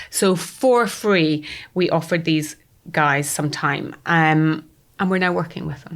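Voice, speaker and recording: Speaking at a fairly slow pace in a Scottish accent, a woman talks with a very deep, low pitch and ordinary pitch variation, on a very clean recording with a silent background. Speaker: startup founder. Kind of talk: podcast interview. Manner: animated.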